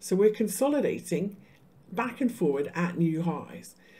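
Somewhat breathy, this woman has a dark, mellow tone. Her intonation is lively. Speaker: crypto market analyst. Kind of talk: live-stream chart analysis. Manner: casual, conversational.

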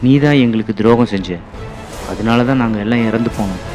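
With music in the background, a man talks at a medium pitch with fairly even intonation. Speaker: voice-over artist. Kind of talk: horror story narration.

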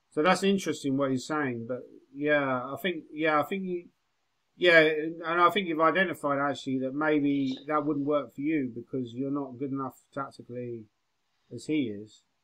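A man with an English accent speaks at a moderate pace in a fairly high pitch, with ordinary pitch variation and a bright, sharp tone. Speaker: chess grandmaster and coach. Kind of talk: chess lesson. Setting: video call.

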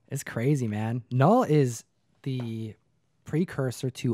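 Dry with no echo over a quiet background, a man's voice with a dark, mellow tone and medium pitch moves at a very slow pace with ordinary pitch variation. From grew up in the back of a comic book store. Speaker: comic book channel host. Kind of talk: casual chat. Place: studio. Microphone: studio mic.

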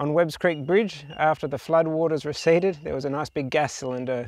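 A man talks at a moderate pace with music in the background. The sound is dry, with no echo. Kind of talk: casual vlog chat. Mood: relaxed, self-deprecating. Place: open country.

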